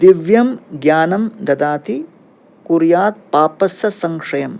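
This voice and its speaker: This man's voice sits high in pitch, and its pitch variation is ordinary. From central India (Bhilai), Kerala family. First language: Tamil and Malayalam (speaking Hindi). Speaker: monk and spiritual teacher. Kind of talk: podcast interview. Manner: calm, explanatory.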